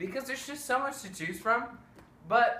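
A man speaks in a raised, projected voice. There is audible room echo. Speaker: presenter. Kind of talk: playful mock lecture. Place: home room. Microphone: camera far.

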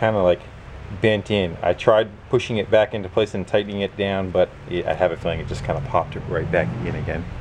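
With light background noise, a man speaks at a fairly low pitch and with ordinary pitch variation. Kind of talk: casual repair vlog. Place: garage. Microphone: phone near.

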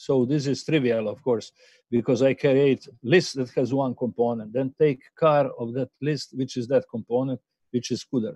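A dark, mellow voice at a moderate pace, fairly even in intonation, dry with no echo, against a quiet background. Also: man. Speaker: university lecturer. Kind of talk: lecture. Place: home room. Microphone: webcam.

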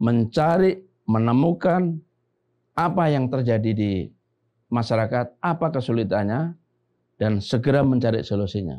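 A man with a Javanese accent, dark, mellow tone, lively intonation and fairly slow pace. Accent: Javanese-accented Indonesian. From Central Java (Klaten); Central Java. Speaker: retired army general; interview guest. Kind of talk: casual podcast interview. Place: studio. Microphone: lapel.

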